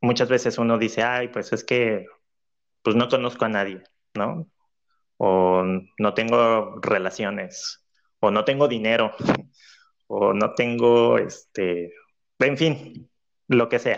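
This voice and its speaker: In a quiet background, a man with a Mexican accent speaks at medium pitch and a very slow pace, with long, frequent pauses and ordinary pitch variation. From Mexico, Cancún. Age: 20s. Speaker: cultural manager, former clarinetist. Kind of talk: interview. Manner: hesitant, many fillers.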